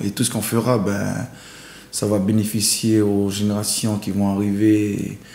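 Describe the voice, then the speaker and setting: Amid noticeable background noise, a man speaks at a fairly slow pace in a monotone, flat intonation. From New Caledonia. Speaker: painter and singer. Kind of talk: interview answer.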